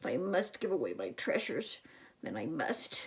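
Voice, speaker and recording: A raspy, female-sounding put-on character voice at middle pitch and a moderate pace. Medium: read story. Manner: dramatic, whiny.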